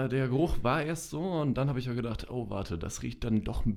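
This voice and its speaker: A man's medium-pitched voice, an unremarkable speaking voice, with ordinary pitch variation. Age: 20s. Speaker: social media marketer. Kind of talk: casual chat. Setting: studio.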